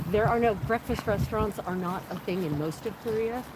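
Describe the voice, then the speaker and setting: A woman with an American accent lets her pitch rise and fall in a lively way, with a fair amount of noise around her. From United States. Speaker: travel vlogger. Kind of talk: casual chat. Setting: outdoors. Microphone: no microphone, must stay near the camera.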